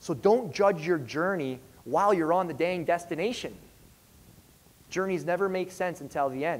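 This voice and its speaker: A man with a high pitch speaks in an energetic tone at a moderate pace. His pitch varies in an ordinary way, and long, frequent pauses break up his speech. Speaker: fitness coach and speaker. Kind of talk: motivational stage speech. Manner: energetic, direct, conversational.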